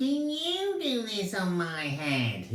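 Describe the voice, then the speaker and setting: A put-on character voice pitched fairly high. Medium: read story.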